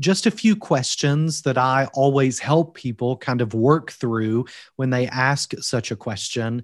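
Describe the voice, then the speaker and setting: A man with a Kentucky accent, medium in pitch, with lively intonation against a quiet background. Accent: Kentucky Southern US. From Kentucky, US. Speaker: seminary provost and author. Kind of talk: interview conversation on ministry training. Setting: remote, video or call from Wales.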